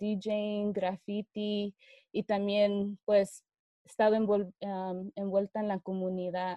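A woman of medium pitch speaks at a very slow pace in a dark, mellow tone. The sound is dry and close with no echo. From Fresno, California. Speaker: DJ and activist. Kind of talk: interview.

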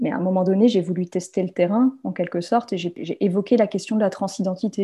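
Over a quiet background, a woman's somewhat breathy voice sits at a medium pitch with a dark, mellow tone. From France. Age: 30s. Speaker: sociology PhD student. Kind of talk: testimony. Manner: hesitant with repetitions.

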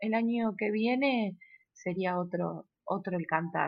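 A woman with a Rosario accent speaks at a medium pitch, somewhat breathy. Her intonation is lively. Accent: Argentine Spanish (Rosario). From Argentina, Rosario. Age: 30s. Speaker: actress and theatre school director. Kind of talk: interview. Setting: remote recording.

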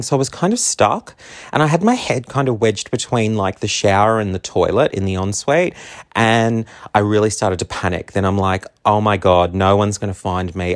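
With an Australian accent, a man talks at a fairly low pitch and moderate pace with ordinary pitch variation, in a dry, close sound with no echo. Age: 30s. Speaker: podcast host. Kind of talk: casual monologue. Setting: home.

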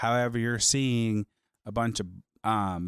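The sound is dry and close with no echo, a very clean recording on a silent background, as a man speaks at a moderate pace in a fairly low pitch with fairly even intonation. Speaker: podcast host. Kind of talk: angry rant. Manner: indignant, heated, emphatic; opinionated, sarcastic.

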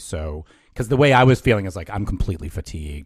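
Lively intonation marks this man's somewhat breathy voice. The recording is very clean, with a silent background. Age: 50s. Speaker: yoga therapist. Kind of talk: interview conversation.

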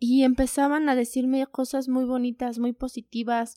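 On a very clean recording with a silent background and a dry, close sound with no echo, a woman speaks at a very slow pace with a high pitch. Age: 20s. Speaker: psychologist and online entrepreneur, mother. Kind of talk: casual interview chat.

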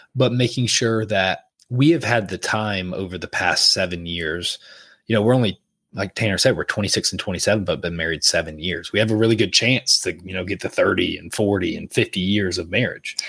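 On a very clean recording with a silent background, a man with a fairly low pitch talks at a fairly quick pace. He has an ordinary speaking voice with ordinary pitch variation. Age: 20s. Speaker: podcast co-host, married couple. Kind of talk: casual chat.

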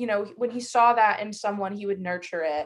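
Recorded very cleanly against a silent background, a woman uses a plain, everyday voice at medium pitch with ordinary pitch variation. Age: 20s. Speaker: film and music video director. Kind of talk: casual interview chat.

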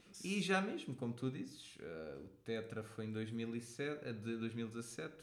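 A man at medium pitch, lively in intonation, at a very slow pace with audible room echo. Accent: European Portuguese. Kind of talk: casual chat.

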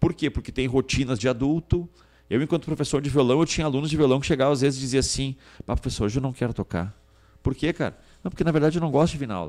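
With music in the background, a man speaks at a very fast pace in a fairly high voice. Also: ordinary pitch variation. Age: 40s. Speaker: state politician. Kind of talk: interview.

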